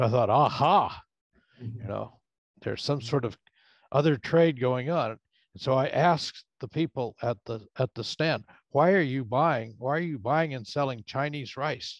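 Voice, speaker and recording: A man's medium-pitched voice with ordinary pitch variation, a moderate pace, a quiet background and a dry sound with no echo. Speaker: professor, audience questioner; professor, questioner. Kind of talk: Q&A question. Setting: video call. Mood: reflective, conversational. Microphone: video call.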